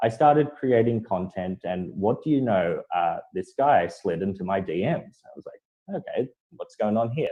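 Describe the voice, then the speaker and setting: A man with an Australian accent at a moderate pace. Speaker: content writer and marketer. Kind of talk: panel discussion.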